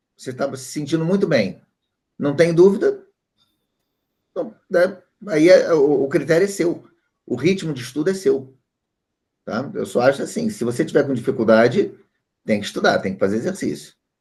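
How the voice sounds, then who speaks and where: At a moderate pace, the voice has vocal fry and very wide pitch swings, broken by long, frequent pauses. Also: man, fairly high pitch for a man. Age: 60s. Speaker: statistics teacher. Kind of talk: online class.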